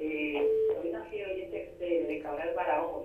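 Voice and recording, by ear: Speaking at a fairly slow pace, a woman with a fairly low pitch and a slightly mellow tone is heard in a room with strong echo. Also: ordinary pitch variation.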